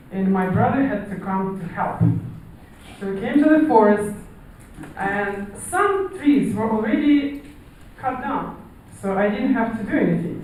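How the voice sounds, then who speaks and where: Lively intonation in a strong Russian accent at a fairly slow pace, with audible room echo and noticeable background noise. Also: woman. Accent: strong Slavic (Russian). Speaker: amateur storyteller. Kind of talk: storytelling. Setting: stage with audience.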